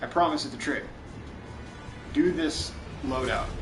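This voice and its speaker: Music in the background behind a man's voice, with audible room echo. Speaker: gaming streamer. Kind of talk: live gameplay tutorial. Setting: live stream.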